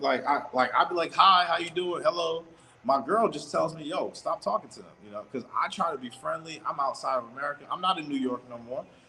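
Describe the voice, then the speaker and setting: A man talks at a moderate pace with very wide pitch swings over noticeable background noise. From US South. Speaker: travel vlogger. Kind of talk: casual livestream monologue. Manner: animated.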